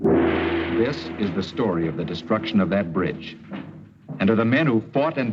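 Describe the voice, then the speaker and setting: Over music in the background, a man with an American accent speaks at a moderate pace with lively intonation and a fairly low pitch. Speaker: actor. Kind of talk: wartime documentary narration. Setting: old mono film soundtrack.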